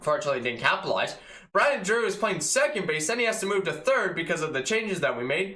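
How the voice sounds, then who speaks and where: A man's high, bright, sharp, raised and projected voice at a very fast pace, with audible room echo. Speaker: sports fan youtuber. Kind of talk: casual sports recap. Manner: enthusiastic; casual, filler-heavy.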